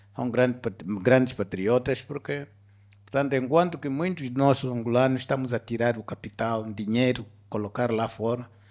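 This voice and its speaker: A man with a plain, everyday voice speaks at a fairly slow pace and medium pitch with ordinary pitch variation, recorded very cleanly against a silent background. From Angola. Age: 60s. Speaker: business executive. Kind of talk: interview on stage. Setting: stage with audience.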